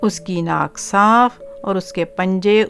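The speaker reads in a natural voice.

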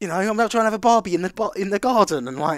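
With lively intonation and a high pitch, a man speaks in an English accent on a very clean recording with a silent background. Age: 30s. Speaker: podcast host. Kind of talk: casual chat.

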